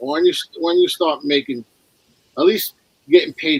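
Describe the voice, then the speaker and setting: Recorded in a dry, close sound with no echo, a man speaks at a moderate pace. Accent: strong New York. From New York. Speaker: snake breeder. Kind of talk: casual chat.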